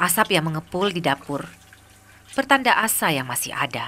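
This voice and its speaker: A woman's fairly low voice at a moderate pace, with very wide pitch swings and noticeable background noise. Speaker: documentary narrator. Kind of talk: TV documentary narration.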